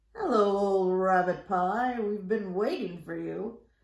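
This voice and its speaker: The voice is a put-on character voice that sounds female. It sits at a middle pitch and moves at a fairly slow pace. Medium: read story.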